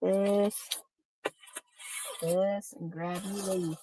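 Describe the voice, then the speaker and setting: A woman with an American accent, music playing in the background. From New England (Massachusetts). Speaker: online seller. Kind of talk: live sale stream. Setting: livestream video. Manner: casual, chatty.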